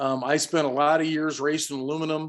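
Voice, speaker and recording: At a moderate pace, a man speaks in a normal speaking voice with a fairly high pitch. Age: 60s. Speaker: kayak instructor. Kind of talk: presentation. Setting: video call.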